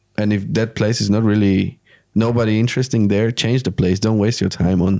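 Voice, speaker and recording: Speaking at a fairly quick pace with a Slovak accent, a man uses a monotone, flat intonation in a dark, mellow tone, his fairly low pitch held at a very even loudness. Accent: Slovak-accented English, sounds Spanish. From Slovakia. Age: 20s. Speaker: podcast host. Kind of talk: casual chat.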